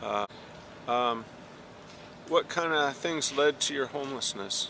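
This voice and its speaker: A man's fairly high, bright, sharp voice at a fairly slow pace with ordinary pitch variation. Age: 70s. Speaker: documentary interviewer. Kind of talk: interview.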